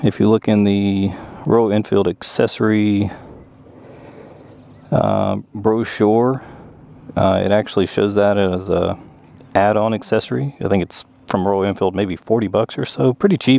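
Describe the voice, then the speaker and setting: At a fairly slow pace, a man speaks with long, frequent pauses. His pitch is fairly low, with ordinary variation. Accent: Southern US. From US South. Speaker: motorcycle YouTuber. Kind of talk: motorcycle review. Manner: casual, many fillers.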